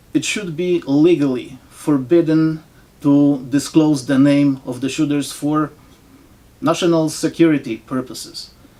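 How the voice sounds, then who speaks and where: Words arrive at a very slow pace. A non-native accent colors the speech. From foreign-born, not US. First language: not English. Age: old. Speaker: political commentator vlogger. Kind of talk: opinion monologue. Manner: sarcastic.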